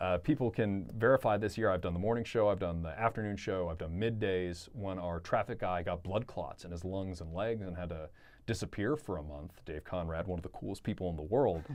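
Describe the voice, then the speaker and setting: A man with an American accent, very deep and low in pitch, at a fairly quick pace with hardly any pauses and ordinary pitch variation, over a quiet background. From Maryland, US. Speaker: radio DJ. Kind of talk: casual interview chat.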